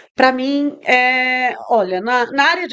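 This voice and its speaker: Against a quiet background, a woman with a Spanish accent speaks in a high voice. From Brazil, São Luís, Maranhão. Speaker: tech entrepreneur, CEO. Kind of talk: interview. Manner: halting, searching for Portuguese words.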